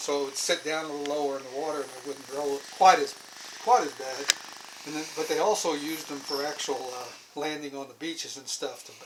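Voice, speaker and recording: Noticeable background noise accompanies talk delivered at a fairly quick speed. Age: 60s. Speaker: ship tour guide. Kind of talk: guided tour. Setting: aboard a ship, indoors on tank deck.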